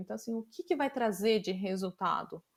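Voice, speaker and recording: With ordinary pitch variation, a woman speaks in a plain, everyday voice. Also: very clean recording, silent background. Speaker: design leader. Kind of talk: interview conversation.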